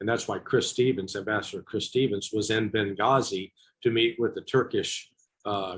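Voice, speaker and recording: With an American accent, a man talks at a moderate pace and a medium pitch with ordinary pitch variation. His voice is somewhat breathy against a quiet background. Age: 60s. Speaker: former intelligence officer. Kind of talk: interview.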